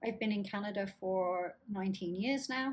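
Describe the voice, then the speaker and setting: A woman speaks in a Lancashire accent, her voice somewhat breathy with ordinary pitch variation. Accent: northern English (Lancashire). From northern England, Blackburn, Lancashire. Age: 50s. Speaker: chronic illness vlogger. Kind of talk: casual vlog talk. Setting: home apartment, downtown high rise.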